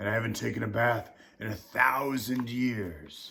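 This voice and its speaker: A booming, raspy put-on character voice from a man, medium in pitch, at a moderate pace. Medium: read story.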